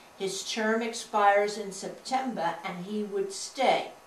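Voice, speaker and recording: A woman speaks with a fairly high pitch and ordinary pitch variation over noticeable background noise. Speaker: social studies teacher. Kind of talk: interview answer.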